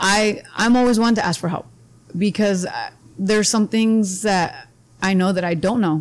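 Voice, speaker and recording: In an American accent, a woman with an unremarkable speaking voice speaks at a moderate pace with fairly even intonation. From Imperial Valley, Southern California (US-Mexico border). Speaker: high school athletic director and PE teacher. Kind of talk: casual interview. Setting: brewery.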